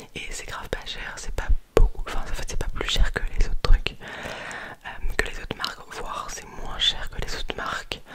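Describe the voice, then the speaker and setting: Amid noticeable background noise, a woman is whispering at a fairly slow pace. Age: 20s. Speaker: ASMR creator. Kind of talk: casual ASMR chat about Christmas gifts. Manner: whispered.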